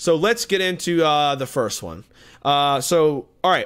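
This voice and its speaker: A man speaks in a fairly high register. The recording is very clean, with a silent background. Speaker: podcast host. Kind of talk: casual chat. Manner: fast.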